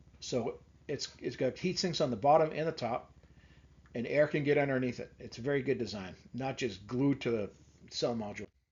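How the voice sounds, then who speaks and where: Medium pitch in a man's somewhat breathy voice, fairly quick in pace, with ordinary pitch variation. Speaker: marine electrical reviewer. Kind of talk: product review tutorial. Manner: casual, conversational.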